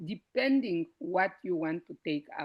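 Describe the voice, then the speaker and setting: A woman is speaking. Her pitch swings very widely. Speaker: information session presenter. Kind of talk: online info session. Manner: halting; quiet. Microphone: too quiet.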